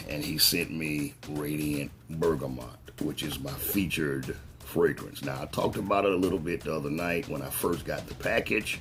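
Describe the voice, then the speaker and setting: Fairly even intonation at a moderate pace, hardly any pauses, and music in the background. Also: man, very deep, low pitch for a man. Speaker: fragrance reviewer. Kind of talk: casual product review. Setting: at home.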